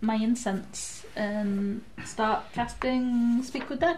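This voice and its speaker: A woman's fairly high, somewhat breathy voice at a very slow pace. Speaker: tabletop RPG player. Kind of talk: live-play tabletop RPG, casual chat with in-character speech.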